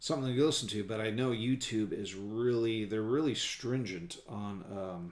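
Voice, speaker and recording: In a relaxed tone, a man with fairly low pitch and ordinary pitch variation speaks at a moderate pace with hardly any pauses, with audible room echo around him. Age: 50s. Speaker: hobbyist vlogger. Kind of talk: casual build commentary. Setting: at home gaming table. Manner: relaxed, halting with fillers.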